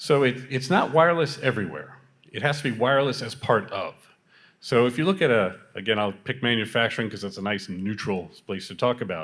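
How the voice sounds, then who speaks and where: A man with a normal speaking voice, at a fairly quick pace, with lively intonation. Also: medium pitch for a man. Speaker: tech company architect. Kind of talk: panel discussion.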